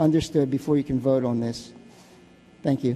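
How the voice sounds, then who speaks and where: A man speaks with an American accent and fairly even intonation. Music plays in the background. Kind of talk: public comment speech. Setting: city council chamber. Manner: halting, many fillers and restarts.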